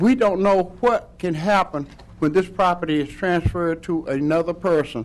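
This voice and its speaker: A man with an American accent, high-pitched, at a moderate pace. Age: 70s. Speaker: resident speaking at public hearing. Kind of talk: public comment at planning meeting.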